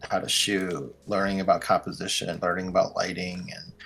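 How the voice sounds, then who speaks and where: Background music under a man's rather deep voice. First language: Mandarin and Cantonese. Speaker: wedding videographer. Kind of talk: interview. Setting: podcast. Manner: many fillers (like, um).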